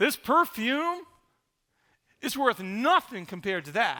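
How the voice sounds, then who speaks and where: Raised, projected male voice, bright and sharp, at a very slow pace with very wide pitch swings, on a very clean recording with a silent background. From Rhode Island. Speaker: pastor. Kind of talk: sermon.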